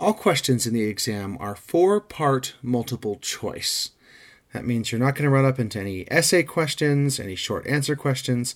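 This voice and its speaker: A man with an ordinary speaking voice speaks at a medium pitch with lively intonation. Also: moderate pace, very clean recording, silent background. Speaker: exam prep instructor. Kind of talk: lecture. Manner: methodical.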